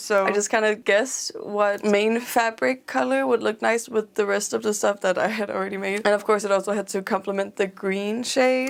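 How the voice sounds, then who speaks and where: A woman is speaking with ordinary pitch variation. Noticeable background noise is present. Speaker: crafter, video creator. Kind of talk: casual craft vlog voiceover. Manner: mumbling.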